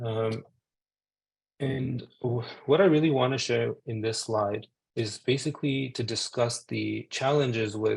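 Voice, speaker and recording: A man's somewhat breathy voice proceeds fairly slowly, its intonation fairly even. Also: medium pitch for a man. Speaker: physician giving a medical talk. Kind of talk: webinar lecture. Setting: video call webinar. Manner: monotone; hesitant, many fillers.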